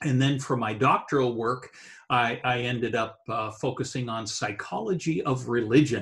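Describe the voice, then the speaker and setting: Using an ordinary speaking voice, a man talks at a moderate pace. His medium pitch moves with ordinary variation. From Eastern Canada, New Brunswick. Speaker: theology professor. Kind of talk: casual interview.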